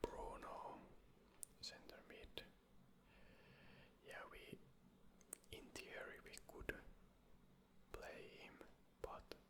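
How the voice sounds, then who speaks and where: Whispering at a very slow pace in a relaxed tone. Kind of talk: casual gaming commentary, draft challenge talk to camera. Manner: whispered, relaxed.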